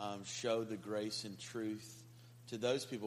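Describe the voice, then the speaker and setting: Here is a man with an ordinary speaking voice. He talks at a moderate pace with fairly even intonation. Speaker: audience member asking question. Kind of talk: asking a question in a group.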